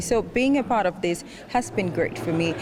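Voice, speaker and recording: A woman's fairly quick, lively-sounding speech over noticeable background noise. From Nigeria. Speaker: festival attendee, intern. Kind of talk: interview.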